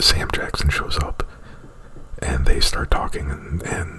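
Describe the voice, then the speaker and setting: A man is whispering. Noticeable background noise runs underneath. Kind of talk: ASMR roleplay, unscripted movie plot retelling. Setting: close to microphone. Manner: whispered; hesitant, rambling.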